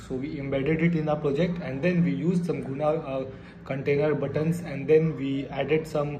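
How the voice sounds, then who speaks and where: Noticeable background noise and audible room echo surround a man talking at a fairly high pitch and fairly quick pace with ordinary pitch variation. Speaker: programming tutorial youtuber. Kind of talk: tutorial. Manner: hesitant, many fillers.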